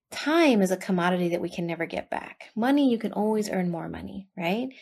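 Lively in intonation, a woman talks in a plain, everyday voice at medium pitch and a fairly quick pace. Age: 30s. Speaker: podcast host. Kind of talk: casual monologue.

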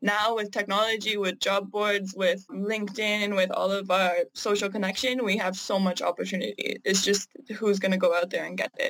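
This woman has a Canadian accent. Her intonation is monotone and flat. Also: medium pitch for a woman, moderate pace, hardly any pauses. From Canada. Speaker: digital marketing freelancer. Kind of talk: interview.

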